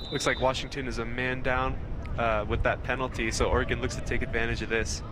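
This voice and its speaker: Against noticeable background noise and audible room echo, the speaker talks with an American accent. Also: man. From Idaho. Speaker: sports commentator. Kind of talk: live commentary. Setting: outdoor sports field.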